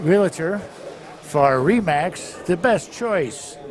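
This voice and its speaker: With music in the background, a man talks at a very slow pace in a high pitch, his intonation lively. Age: 70s. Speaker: bowling tournament commentator. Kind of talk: live commentary. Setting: bowling alley.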